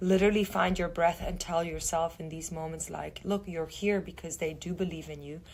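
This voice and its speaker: A woman speaks at a fairly low pitch in a monotone, flat intonation, with vocal fry. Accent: non-native. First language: not English. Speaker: actress. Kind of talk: interview. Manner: halting.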